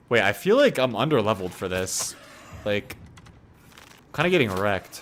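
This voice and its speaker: The speaker uses lively intonation at a moderate pace. Noticeable background noise is present. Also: man, fairly low pitch for a man. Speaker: streamer and dating/life coach. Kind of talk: casual live-stream chat while gaming.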